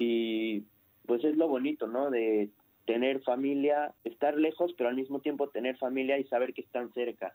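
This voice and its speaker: The sound is dry and close, with no echo. A man at a medium pitch speaks at a moderate pace in a dark, mellow tone with fairly even intonation. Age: 20s. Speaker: immigrant about to join the army. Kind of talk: radio interview.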